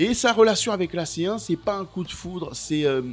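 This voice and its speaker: Over music in the background, the speaker keeps a moderate pace with lively intonation. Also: man. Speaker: football YouTuber. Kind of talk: football documentary narration. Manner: animated.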